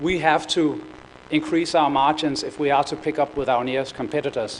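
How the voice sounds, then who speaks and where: A man's fairly high voice at a moderate pace, with fairly even intonation and noticeable background noise. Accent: Danish. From Denmark. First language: Danish. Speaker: corporate procurement executive. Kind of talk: conference presentation. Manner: hesitant, many fillers and repetitions.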